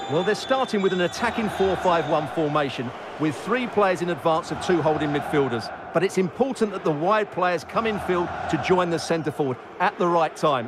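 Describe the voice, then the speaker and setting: High-pitched man's voice amid noticeable background noise. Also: ordinary pitch variation, moderate pace. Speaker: football co-commentator and former professional midfielder. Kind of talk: analytical colour commentary on match action and replays. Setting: commentary booth. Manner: measured and analytical, often opening with 'Well'.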